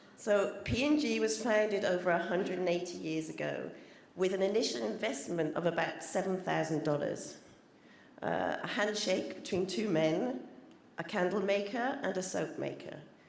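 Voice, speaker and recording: A woman with a British accent at medium pitch and a moderate pace, amid audible room echo and noticeable background noise. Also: lively intonation. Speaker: corporate trademark specialist. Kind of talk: conference presentation. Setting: conference stage with audience.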